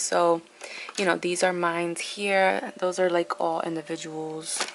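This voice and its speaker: A woman with a normal speaking voice and a fairly low pitch talks at a moderate pace. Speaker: beauty and lifestyle vlogger. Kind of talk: casual vlog talk. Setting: at home, sitting on the floor.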